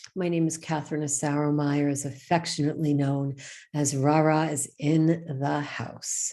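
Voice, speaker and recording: Speaking at a fairly slow pace with a slight New York accent, a woman has a very deep, low pitch, a dark, mellow tone and flat, monotone intonation. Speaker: show co-host. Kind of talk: live show chat. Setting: live online broadcast.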